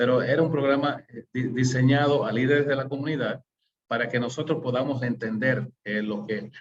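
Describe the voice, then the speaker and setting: A man speaks at a medium pitch with fairly even intonation. His voice is somewhat breathy. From US, New York City. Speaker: webinar host, management systems consultant. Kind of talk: webinar presentation. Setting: online webinar. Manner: halting, many fillers.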